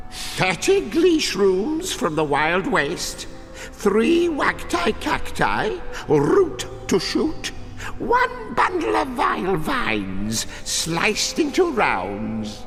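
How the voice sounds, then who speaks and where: This is a put-on character voice at a very slow pace. Loud background noise runs underneath. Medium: machinima. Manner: theatrical, gleeful.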